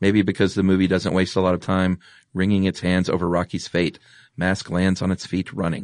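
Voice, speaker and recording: Speaking with an American accent, a man with a very deep, low pitch talks at a fairly quick pace in a flat monotone, his loudness very even against a quiet background. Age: 40s. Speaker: podcast host. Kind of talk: casual chat; scripted narration.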